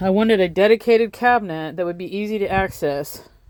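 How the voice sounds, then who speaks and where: A woman talks at a fairly quick pace in a plain, everyday voice. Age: 50s. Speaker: van life vlogger. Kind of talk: casual video tour. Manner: casual, chatty with fillers.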